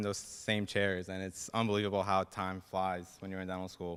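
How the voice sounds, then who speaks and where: A man with a Persian accent talks at a fairly quick pace. His tone is bright and sharp. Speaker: dental student. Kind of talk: speech.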